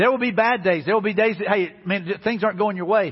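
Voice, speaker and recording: An animated man with a Southern US accent, high-pitched, fairly quick, with ordinary pitch variation. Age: 50s. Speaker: pastor. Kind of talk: sermon. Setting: church.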